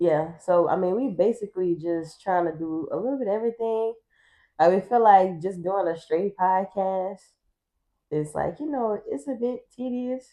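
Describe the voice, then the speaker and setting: A woman speaks in an ordinary speaking voice at medium pitch, with lively intonation and a moderate pace. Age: 20s. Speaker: podcast co-host. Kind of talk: casual chat.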